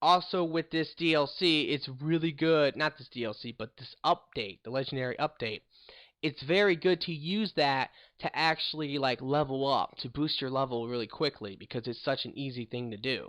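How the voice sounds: At a moderate pace, a fairly bright tone moves with ordinary pitch variation. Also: man, medium pitch for a man.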